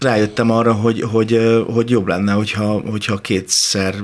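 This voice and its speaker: Noticeable background noise sits under this recording. A man talks at a moderate pace in a fairly low voice. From rural Hungary, village. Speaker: actor and singer. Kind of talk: radio interview.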